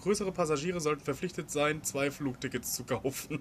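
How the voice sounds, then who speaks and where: This man's voice has a somewhat breathy quality. He talks fairly quickly. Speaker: podcast co-host. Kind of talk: casual chat. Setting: outdoors.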